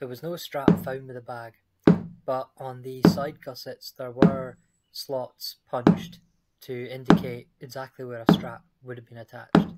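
The speech moves at a fairly slow pace with music in the background. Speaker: leatherworker and living history maker. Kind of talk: educational craft talk to camera.

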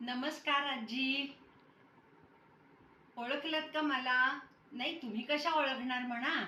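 A woman projects a raised voice with a bright, sharp tone, high in pitch and with fairly even intonation. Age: 80s. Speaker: interviewer. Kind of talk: interview question. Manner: polite, respectful.

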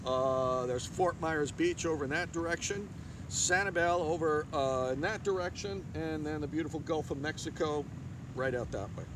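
Amid noticeable background noise, this man's pitch varies in an ordinary way. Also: dry sound with no echo. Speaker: yoga teacher. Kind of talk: yoga class instruction. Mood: cheerful, relaxed, calm. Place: beach.

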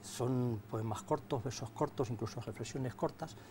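The voice is dark, mellow and somewhat breathy, moving at a moderate pace with lively intonation over light background noise. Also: man. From Spain, Castilla-La Mancha (Casas de Benítez, Cuenca); Castilla-La Mancha, Spain. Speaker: writer and poet; guest. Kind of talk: interview. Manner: halting. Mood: calm, reflective. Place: studio. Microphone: lapel.

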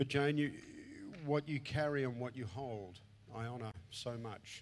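His intonation is fairly even. The man keeps to a moderate pace. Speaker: conference preacher. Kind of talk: sermon. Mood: warm, heartfelt, gentle. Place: stage. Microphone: handheld.

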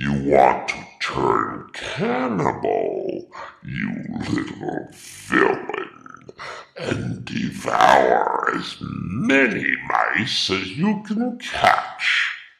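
A man's rumbling, put-on character voice at a very slow pace, with audible echo. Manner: testy, wry.

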